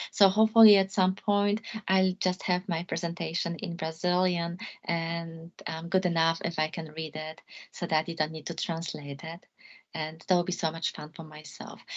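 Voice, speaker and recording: A woman speaks in a Polish accent at a fairly low pitch. Her intonation is monotone and flat, at a moderate pace. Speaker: law lecturer. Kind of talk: academic talk closing remarks. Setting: video call. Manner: halting.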